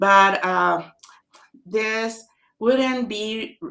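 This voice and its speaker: The speaker is a woman. Her words come with a Spanish accent. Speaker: author. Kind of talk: book launch webinar.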